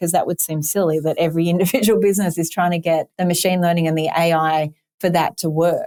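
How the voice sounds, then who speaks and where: In an Australian accent, a woman speaks very fast with a dark, mellow tone, in a dry, close sound with no echo. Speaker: tech company executive. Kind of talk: podcast interview. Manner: animated.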